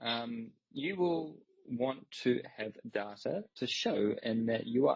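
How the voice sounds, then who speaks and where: A very slow delivery in a New Zealand accent. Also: man. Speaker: crypto company executive. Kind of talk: interview on audio space.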